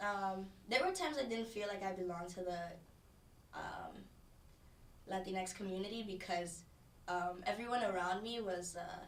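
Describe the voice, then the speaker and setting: A woman with fairly even intonation and long, frequent pauses, amid noticeable background noise and audible room echo. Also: medium pitch for a woman, moderate pace. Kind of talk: interview testimony. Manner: halting.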